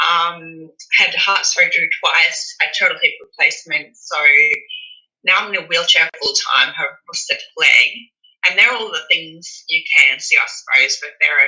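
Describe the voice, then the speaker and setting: A woman speaks in an Australian accent, her pace moderate. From Australia (Brisbane). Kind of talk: interview. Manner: hesitant.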